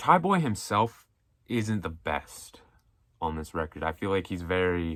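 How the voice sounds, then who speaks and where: Very deep, low male speech at a fairly slow pace. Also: ordinary pitch variation, very clean recording, silent background. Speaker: music commentary youtuber. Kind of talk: casual one-take monologue. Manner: mumbling; casual, unscripted.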